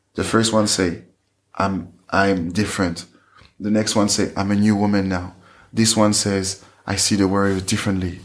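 In a French accent, a man delivers his words at a moderate pace with a fairly low pitch and monotone, flat intonation. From France, Paris area. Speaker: fashion entrepreneur. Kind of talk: interview. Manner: halting.

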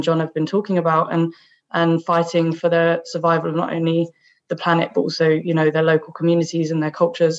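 The speaker has a southern English accent and a fairly quick pace. The intonation stays monotone and flat. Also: woman. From southeast England (Kent). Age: 20s. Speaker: climate activist. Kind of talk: interview conversation.

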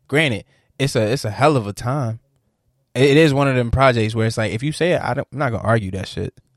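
This man talks at a very fast pace with medium pitch and ordinary pitch variation. The sound is dry and close with no echo, on a very clean recording with a silent background. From Norfolk, Virginia. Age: 20s. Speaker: podcast host. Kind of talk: casual chat.

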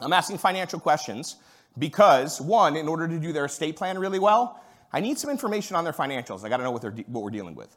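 The voice has vocal fry and races at a very fast pace. Both its loudness and its pitch swing widely. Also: man, fairly high pitch for a man. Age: 40s. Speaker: estate planning attorney and salesperson. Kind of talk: conference talk.

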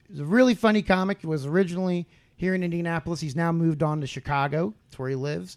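A man speaks at a fairly quick pace in a fairly high voice. The recording is very clean, with a silent background. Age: 30s. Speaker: podcast host and stand-up comedian. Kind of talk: casual chat. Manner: animated.

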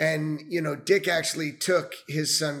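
In a normal speaking voice, a man with an American accent talks at a moderate pace, his pitch fairly high and his intonation fairly even. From New York area (Westchester). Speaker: venture capitalist, Army veteran. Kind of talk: casual interview.

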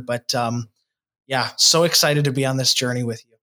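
A man talks at a fairly quick pace in a bright, sharp tone. The recording is very clean, with a silent background. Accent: American. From Wisconsin (De Pere, near Green Bay). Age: 20s. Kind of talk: casual interview. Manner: animated.

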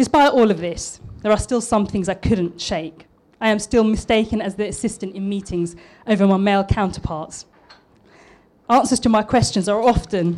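With a southern English accent, a woman speaks in a nervous tone at a medium pitch and moderate pace, with ordinary pitch variation. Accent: posh southern English, formerly East London. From East London, Tower Hamlets. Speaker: architect giving a talk. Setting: restaurant talk event. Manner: a bit nervous.

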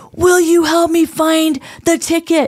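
A put-on character voice, guttural and extremely high-pitched, moves at a fairly slow pace in monotone, flat intonation.

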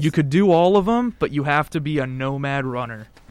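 With a normal speaking voice, a man talks at a fairly quick pace, his fairly high pitch carried by lively intonation. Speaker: podcast host. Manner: casual, conversational.

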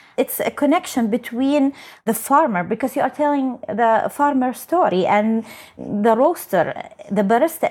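This woman speaks in an Arabic accent. Her high-pitched voice has lively intonation. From Saudi Arabia. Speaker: barista champion. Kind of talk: casual interview chat. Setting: home storage room, remote recording.

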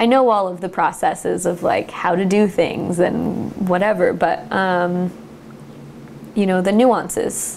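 A woman with an unremarkable speaking voice, medium pitch, fairly even intonation, a fairly slow pace and an American accent. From US West Coast, California Central Coast. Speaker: winery cellar worker. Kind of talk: oral history interview. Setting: at home.

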